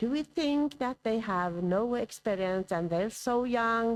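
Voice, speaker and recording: Using very wide pitch swings, a woman with a Norwegian accent speaks at a fairly slow pace in a dry, close sound with no echo. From Norway. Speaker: professor. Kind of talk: conference lecture. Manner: hesitant.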